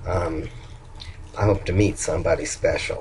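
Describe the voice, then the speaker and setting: A man speaks with an American accent at a moderate pace while noticeable background noise runs underneath. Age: old. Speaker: vlogger. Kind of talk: video diary. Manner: halting.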